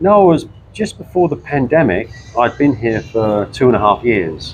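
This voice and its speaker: Speaking with an English accent, a man uses very wide pitch swings at a medium pitch and a moderate pace. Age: 60s. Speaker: retiree, former classic car importer. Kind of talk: interview. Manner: halting.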